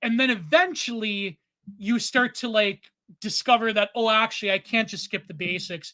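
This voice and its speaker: In a Canadian accent, a voice speaks at a moderate pace in a very clean recording with a silent background. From Canada. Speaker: podcast co-host and self-taught artist. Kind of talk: casual chat. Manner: rambling, halting with repeated fillers.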